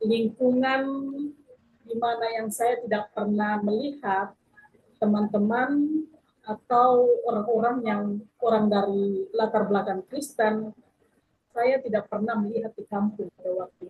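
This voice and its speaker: A woman with a fairly high voice speaks fairly slowly and with fairly even intonation, her loudness swinging widely between long, frequent pauses. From South Sulawesi, Bulukumba. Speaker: pastor. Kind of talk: testimony. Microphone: poor connection.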